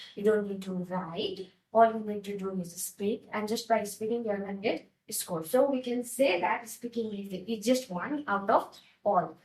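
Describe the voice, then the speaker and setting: A woman with a Nepali accent speaks at a moderate pace, her somewhat breathy, medium-pitched voice showing ordinary pitch variation. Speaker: IELTS teacher. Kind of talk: tutorial.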